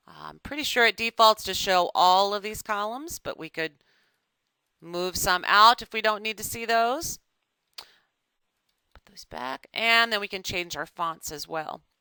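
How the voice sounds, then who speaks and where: A woman with a medium-pitched voice speaks at a fairly slow pace, her bright, sharp tone carrying lively intonation, big swings in loudness and long, frequent pauses, all in a dry, close recording with no echo. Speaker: software trainer. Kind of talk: webinar tutorial. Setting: office, online webinar.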